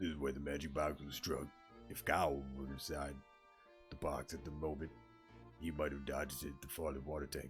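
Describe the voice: A man uses a put-on character voice at a fairly quick pace as clear music plays in the background.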